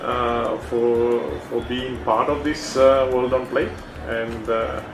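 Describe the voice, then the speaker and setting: With audible room echo and noticeable background noise, a man speaks at a very slow pace, medium pitch and fairly even intonation. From Fiji. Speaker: brand executive. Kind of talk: interview. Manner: halting, many fillers.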